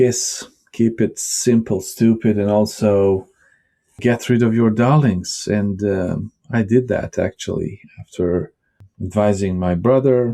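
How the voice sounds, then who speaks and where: In a Bosnian accent, a man with a fairly low pitch and a dark, mellow tone speaks at a very slow pace on a very clean recording with a silent background. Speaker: tech vlogger and writer. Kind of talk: casual vlog talk. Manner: hesitant, with fillers.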